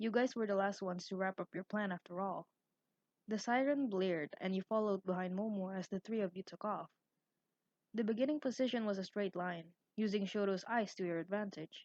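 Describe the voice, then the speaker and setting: A woman with an ordinary speaking voice talks at a fairly quick pace, medium in pitch with ordinary pitch variation, in a dry, close sound with no echo. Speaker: fanfiction reader and author, content creator. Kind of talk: story narration, fanfiction reading. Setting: recorded with an external mic (some parts on a built-in mic).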